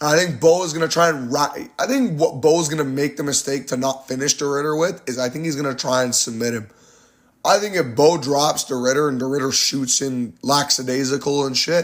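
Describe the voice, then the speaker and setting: This man talks at a fairly quick pace in a normal speaking voice, pitched fairly high with ordinary pitch variation. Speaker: MMA YouTuber giving fight predictions. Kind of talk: casual fight breakdown monologue.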